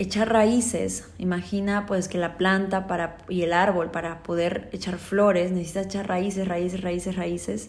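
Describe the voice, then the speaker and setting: A woman at medium pitch, fairly slow pace and fairly even intonation, with audible room echo. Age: 20s. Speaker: life coach and podcast host. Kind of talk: motivational monologue.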